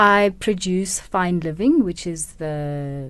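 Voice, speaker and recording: A woman with a Botswana accent, medium pitch and lively intonation at a very slow pace, over a quiet background. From South Africa, Kimberley, Northern Cape. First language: Setswana. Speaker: radio producer. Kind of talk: interview. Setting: radio studio.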